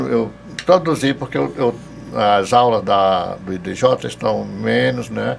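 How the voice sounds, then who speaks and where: The pace is very slow. A man talks over noticeable background noise. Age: 70s. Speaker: theology professor. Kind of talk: podcast interview. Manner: halting, with hesitations.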